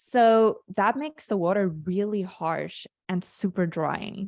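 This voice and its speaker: Heard dry and close with no echo, a woman talks in a South African accent. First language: Afrikaans. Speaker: skincare founder. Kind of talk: interview. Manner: halting.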